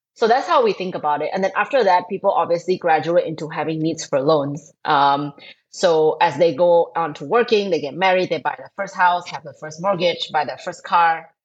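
A woman with a fairly low voice talks at a moderate pace with hardly any pauses, ordinary pitch variation and big swings in loudness. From Thailand. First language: Thai. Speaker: fintech co-founder. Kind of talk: interview.

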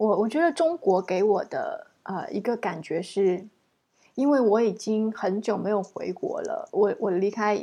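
Here the tone is dark and mellow. Intonation is lively while the pace stays fairly slow. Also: woman. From China. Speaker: language teacher podcast host. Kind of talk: interview.

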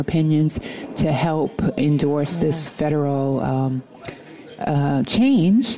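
At a fairly slow pace and with ordinary pitch variation, the speaker talks in an American accent over noticeable background noise. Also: woman. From New York. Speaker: actor and filmmaker. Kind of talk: interview.

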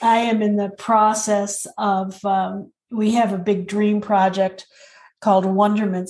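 In a somewhat breathy voice of medium pitch, a woman speaks at a fairly slow pace with monotone, flat intonation and a dark, mellow tone. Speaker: podcast co-host.

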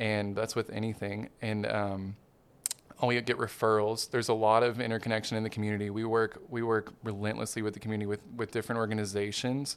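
A man talks at a very fast pace with a Southern US accent. His pitch is fairly low and his intonation monotone and flat. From Arkansas, Hot Springs. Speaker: dentist. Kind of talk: casual interview. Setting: studio.

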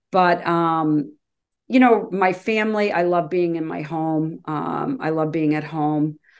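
Against a quiet background, a woman talks at a very slow pace in a fairly low pitch with ordinary pitch variation. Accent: American. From Massachusetts (Hingham). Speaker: addiction counselor. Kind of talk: interview.

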